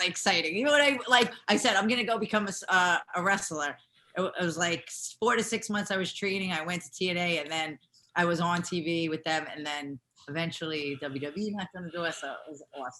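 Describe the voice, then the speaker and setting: Talking at a very fast pace with an American accent, a woman uses a bright, sharp tone at a fairly low pitch, with lively intonation and big swings in loudness. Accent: New York Italian American. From New York. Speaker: former pro wrestler and stuntwoman. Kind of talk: interview.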